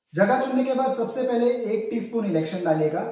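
A man talks at a fairly slow pace. Room echo is audible. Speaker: comic chef persona. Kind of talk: satirical cooking-show monologue. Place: kitchen. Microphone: camera far.

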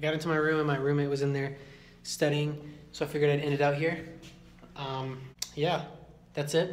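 The man speaks with monotone, flat intonation. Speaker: college vlogger. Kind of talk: casual vlog chat. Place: hall. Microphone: phone near.

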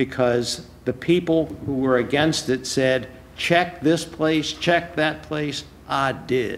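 A man speaks at a slow pace and medium pitch. His tone is fairly bright, with ordinary pitch variation.

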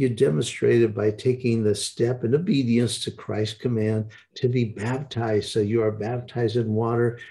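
Somewhat breathy and dark, mellow in tone, a man speaks with ordinary pitch variation. The background is quiet. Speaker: broadcast host and evangelist. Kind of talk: live-streamed prayer broadcast with a ministry intro. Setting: online broadcast. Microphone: webcam.

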